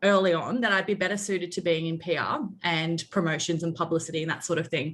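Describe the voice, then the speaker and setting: In an Australian accent, a woman speaks at a very fast pace with hardly any pauses. Her pitch is fairly low. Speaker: public relations agency director. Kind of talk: interview.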